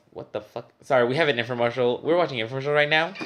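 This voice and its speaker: The voice carries a Spanish accent and ordinary pitch variation. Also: man. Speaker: movie reviewer. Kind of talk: casual chat.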